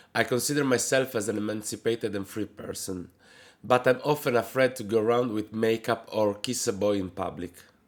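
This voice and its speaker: A man's medium-pitched voice in an Italian accent, fairly quick and fairly even in intonation, on a very clean recording with a silent background. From Italy. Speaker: drag queen. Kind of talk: reading aloud a letter. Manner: careful, read-out pace.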